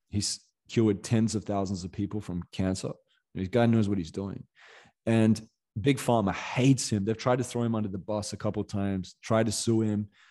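This speaker has a dark, mellow tone and an Australian accent, moving at a fairly quick pace with fairly even intonation. Long, frequent pauses break up the speech against a quiet background. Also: man, fairly low pitch for a man. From Perth, Western Australia. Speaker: motivational coach and podcaster. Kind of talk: podcast interview.

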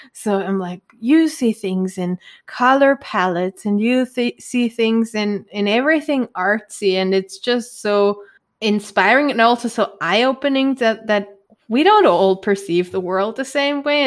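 A woman with a German accent and a fairly high pitch, enthusiastic in tone, at a fairly slow pace with ordinary pitch variation. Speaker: podcast co-host. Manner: enthusiastic, chatty.

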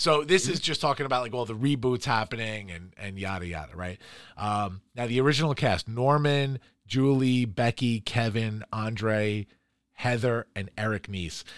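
An ordinary speaking voice from a man with an American accent, medium pitch and ordinary pitch variation, at a moderate pace. His loudness swings widely on a very clean recording with a silent background. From New York, Queens and Long Island. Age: 40s. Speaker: podcast co-host. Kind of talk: casual chat.

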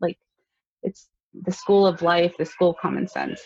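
A somewhat breathy woman with an American accent, against a quiet background. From US West Coast, Los Angeles. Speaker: photographer and accountant. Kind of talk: interview. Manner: casual, filler-heavy.

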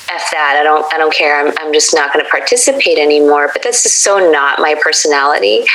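With a very deep, low pitch, a woman talks very fast with hardly any pauses over noticeable background noise. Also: ordinary pitch variation. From US, Korean American family. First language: Korean. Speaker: lawyer and vegan food creator. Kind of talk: interview conversation.

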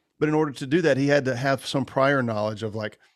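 At a fairly quick pace, a man with an unremarkable speaking voice talks at medium pitch with ordinary pitch variation on a very clean recording with a silent background. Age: 40s. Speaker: men's ministry leader and entrepreneur. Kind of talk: casual interview.

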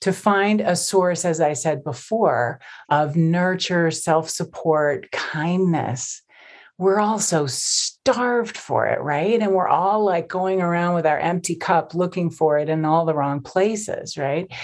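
A woman with an American accent speaks very slowly in a fairly low pitch, with ordinary pitch variation over a quiet background. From US suburbs. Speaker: meditation teacher. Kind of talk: interview.

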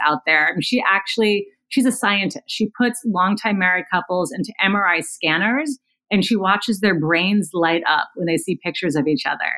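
At a fairly quick pace, a woman uses an unremarkable speaking voice, medium in pitch and showing ordinary pitch variation. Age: 50s. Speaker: podcast host and communications consultant. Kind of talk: casual interview. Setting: remote call.

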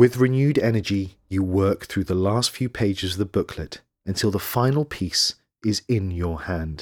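A dramatic tone comes at a moderate pace with ordinary pitch variation, in a dry, close sound with no echo on a very clean recording with a silent background. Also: man, fairly low pitch for a man. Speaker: narrator. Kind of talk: scripted bedtime narration, second person. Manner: measured, dramatic, hushed storytelling.

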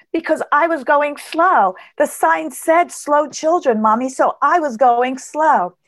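A woman with a high-pitched voice speaks at a fairly slow pace with hardly any pauses, ordinary pitch variation and very even loudness. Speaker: high performance coach and speaker. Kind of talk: interview.

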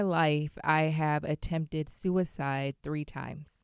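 A woman with an American accent at a very slow pace, ordinary pitch variation, on a very clean recording with a silent background. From South Carolina. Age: 20s. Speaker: motivational speaker and author. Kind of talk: interview.

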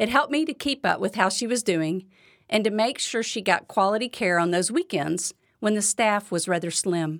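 A woman in a normal speaking voice talks at a moderate pace and medium pitch with lively intonation, on a very clean recording with a silent background. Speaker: podcast host and devotional speaker. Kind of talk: devotional talk. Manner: warm, encouraging.

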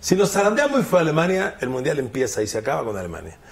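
This man's pitch is fairly high and swings very widely. He talks at a fairly quick pace with vocal fry. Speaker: sports commentator. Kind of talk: casual chat. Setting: studio.

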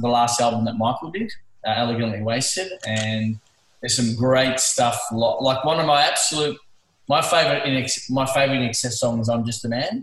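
A man with an Australian accent speaks at medium pitch and a moderate pace, with ordinary pitch variation. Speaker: music fan. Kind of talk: casual chat. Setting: video call.

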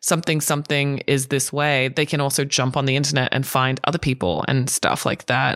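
A woman with an Australian accent speaks fairly quickly in a very deep, low voice. The recording is very clean, with a silent background. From Australia, raised partly in Hong Kong. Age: 30s. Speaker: podcast co-host. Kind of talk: casual chat.

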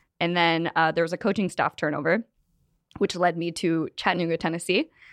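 A woman with an American accent and fairly low pitch talks fairly quickly, her voice dry and close with no echo over a quiet background. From San Diego, California. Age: 20s. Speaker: cancer patient and podcaster. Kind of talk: casual interview chat. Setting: studio.

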